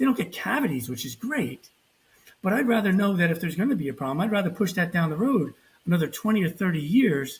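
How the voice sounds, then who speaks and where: Speaking at a very fast pace with an American accent, the voice swings very widely in pitch. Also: man, high pitch for a man. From New Jersey. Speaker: periodontist. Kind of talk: interview conversation.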